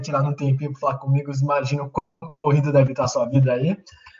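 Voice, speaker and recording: Somewhat breathy and fairly high-pitched, a man speaks at a fairly quick pace. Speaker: student and sports website host. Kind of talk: interview. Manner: casual.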